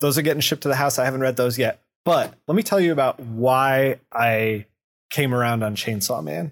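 A man talks at a fairly quick pace in an ordinary speaking voice, his pitch medium and his intonation lively. The sound is dry and close, with no echo. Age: 40s. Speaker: comic book podcast co-host. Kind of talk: casual chat.

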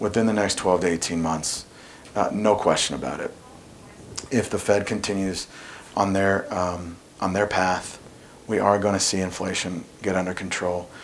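Man with a very deep, low pitch, fairly even intonation, moderate pace and long, frequent pauses, amid noticeable background noise. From US Midwest, Indianapolis. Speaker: mortgage lender, former teacher. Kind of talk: casual interview chat.

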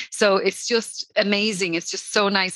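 A woman with a Dublin accent speaks in a bright, sharp tone, recorded with a dry, close sound and no echo. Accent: Irish (Dublin). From Ireland, Dublin. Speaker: social media consultant. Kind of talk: casual interview chat. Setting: online call. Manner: fast.

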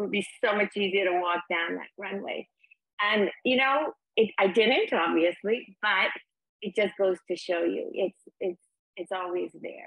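A plain, everyday voice from a woman, medium in pitch and moderate in pace. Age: 60s. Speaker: founder of a sober community. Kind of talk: interview.

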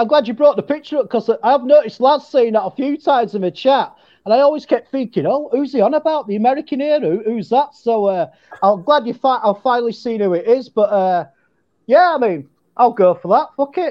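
Extremely high-pitched, a man talks with an English accent at a fairly quick pace. His intonation is lively. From England. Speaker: fan guest. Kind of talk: casual chat. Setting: video call.

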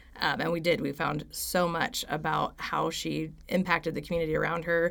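A woman's fairly low voice with vocal fry and an American accent. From Stillwater, Oklahoma. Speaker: university student. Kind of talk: interview. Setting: studio on campus.

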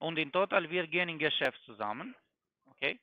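A man speaks with a non-native accent. His pace is moderate and his pitch varies in an ordinary way. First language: not German (speaking German). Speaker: scam caller posing as financial expert. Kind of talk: sales pitch.

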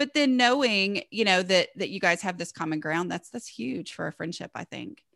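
With a Southern US accent, a woman at medium pitch speaks at a moderate pace with hardly any pauses, a bright, sharp tone, very wide pitch swings and big swings in loudness, in a dry, close sound with no echo. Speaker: blogger and author on home organizing. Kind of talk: casual interview chat.

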